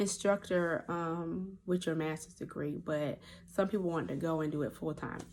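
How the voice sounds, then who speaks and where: With a Southern accent, a woman speaks at a moderate pace in a fairly low pitch with fairly even intonation. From US South (North Carolina, then Georgia from age eight). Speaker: nurse practitioner running a clinic. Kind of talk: casual vlog talk. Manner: hesitant, many fillers.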